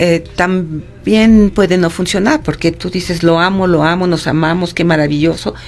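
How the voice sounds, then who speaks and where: This is a plain, everyday voice. A woman with fairly low pitch speaks at a moderate pace with fairly even intonation. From Mexico City. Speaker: psychologist. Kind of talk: interview.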